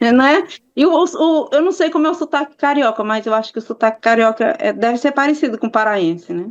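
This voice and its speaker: With a northeastern Brazilian accent, a woman speaks at a high pitch with lively intonation. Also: fairly quick pace. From Maranhão, Brazilian Northeast (Imperatriz). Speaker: victim's aunt, interviewee. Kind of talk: interview. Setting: video call. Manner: animated.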